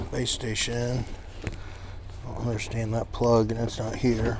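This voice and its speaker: Over noticeable background noise, a man speaks at a very slow pace with hardly any pauses, his medium-pitched voice flat and monotone. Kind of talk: casual talk to camera, walking through an auction preview.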